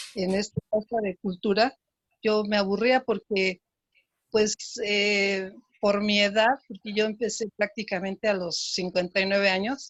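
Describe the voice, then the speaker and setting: Speaking at a fairly slow pace, a woman of medium pitch keeps her intonation monotone and flat. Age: 70s. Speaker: qigong instructor. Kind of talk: panel discussion.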